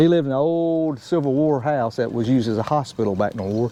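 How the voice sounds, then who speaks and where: A man talks in a Southern US accent. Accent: Southern country accent, people remark on it. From US South, Georgia (Marietta/Smyrna, near Atlanta). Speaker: YouTuber, fabricator. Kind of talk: casual cooking vlog chat.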